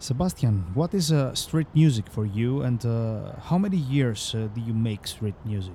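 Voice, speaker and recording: Speaking fairly slowly with a Greek accent, a man has a dark, mellow, somewhat breathy voice at medium pitch and lively intonation. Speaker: podcast host. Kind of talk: interview. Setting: outdoors on the street. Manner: hesitant, halting English.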